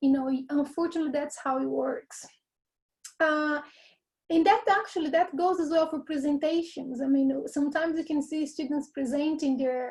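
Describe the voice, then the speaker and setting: In a very clean recording with a silent background, a woman with a Portuguese accent speaks at a high pitch. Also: ordinary pitch variation, moderate pace. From Brazil. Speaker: university lecturer. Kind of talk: workshop lecture.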